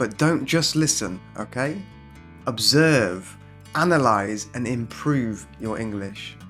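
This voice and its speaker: A man with a British accent speaks at medium pitch, his voice swinging very widely up and down. Music plays in the background. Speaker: English teacher. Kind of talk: scripted video intro.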